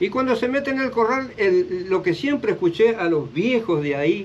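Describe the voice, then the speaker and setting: Delivery holds a moderate pace. Its pitch swings very widely. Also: man. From Chaco, northern Argentina. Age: 60s. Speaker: interviewee telling his life story. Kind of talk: life story interview. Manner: hesitant, with filler sounds.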